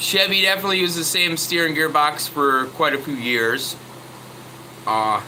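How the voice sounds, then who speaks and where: At a moderate pace, a man with fairly high pitch and ordinary pitch variation speaks amid audible room echo and noticeable background noise. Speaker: truck mechanic vlogger. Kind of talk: casual tutorial chat. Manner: loud; halting.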